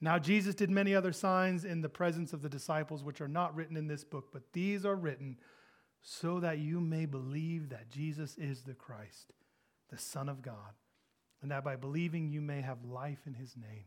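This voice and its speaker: The voice moves at a moderate pace with ordinary pitch variation and big swings in loudness. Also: man, fairly high pitch for a man. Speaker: pastor. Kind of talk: sermon. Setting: church.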